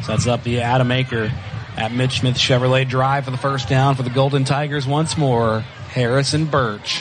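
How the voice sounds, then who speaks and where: A man speaks with a Southern US accent at a moderate pace, his intonation monotone and flat. Noticeable background noise is present. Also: medium pitch for a man. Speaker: high school football play-by-play announcer. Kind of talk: live sports commentary. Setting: broadcast booth at stadium.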